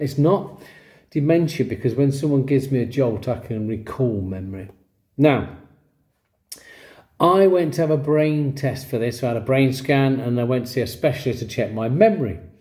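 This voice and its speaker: A man with an English accent speaks at a moderate pace and medium pitch with ordinary pitch variation, his dark, mellow tone somewhat breathy amid audible room echo. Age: 60s. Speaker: vlogger with ADHD, former teacher. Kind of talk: personal story to camera. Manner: casual, self-correcting.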